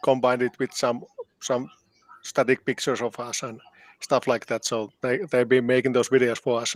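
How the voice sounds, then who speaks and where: A man speaks in a Finnish accent. The sound is dry and close, with no echo. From Finland. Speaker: band keyboardist and composer. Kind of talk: interview. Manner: halting.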